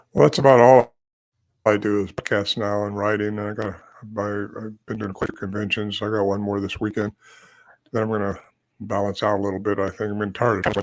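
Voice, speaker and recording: Over a silent background in a very clean recording, a man talks at a fairly quick pace with a fairly low pitch. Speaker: Bigfoot researcher and author. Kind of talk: interview. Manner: fast; animated.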